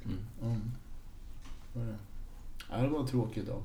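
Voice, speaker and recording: A man at a very slow pace, somewhat breathy, with fairly even intonation and audible room echo. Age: 50s. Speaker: record collector and harmonica player in a tribute band. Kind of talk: casual chat.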